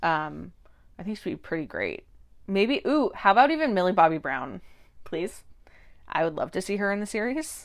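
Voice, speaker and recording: On a very clean recording with a silent background, a woman with vocal fry speaks at a medium pitch and a moderate pace, taking long, frequent pauses. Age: 20s. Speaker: podcast co-host. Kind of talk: casual chat. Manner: hesitant, many fillers.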